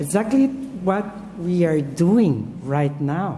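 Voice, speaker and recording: Amid audible room echo, a woman with a Brazilian Portuguese accent speaks at a very slow pace, her pitch swinging very widely. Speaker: professor. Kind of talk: lecture. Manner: halting.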